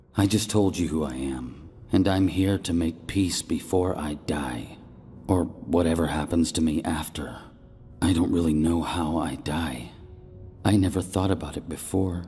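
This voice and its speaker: Rumbling and at a moderate pace, a man does a put-on character voice over clear background noise. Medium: read story. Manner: irreverent, contemptuous.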